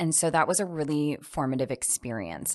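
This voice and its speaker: Over a quiet background, a woman with a slight Midwestern accent speaks at a moderate pace in a very deep, low pitch. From US Midwest, Wisconsin. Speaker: election reform organizer. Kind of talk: interview.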